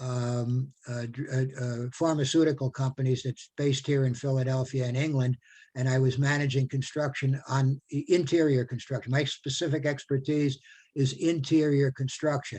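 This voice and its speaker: A man speaks at a moderate pace with medium pitch and a dark, mellow tone. His delivery is monotone and flat, and somewhat breathy. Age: 70s. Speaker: retired carpenter and volunteer. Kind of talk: casual chat. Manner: halting, many repetitions.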